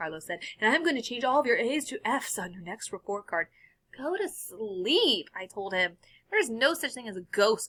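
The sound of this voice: Throughout the clip, the voice reads in an unforced way.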